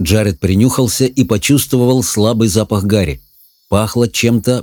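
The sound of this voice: The background is quiet. This is an unforced reading voice.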